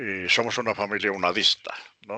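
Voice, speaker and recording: He speaks in a bright, sharp tone. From Colombia, Pasto (Nariño). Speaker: university professor of philosophy. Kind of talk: lecture introduction. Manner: halting, with fillers.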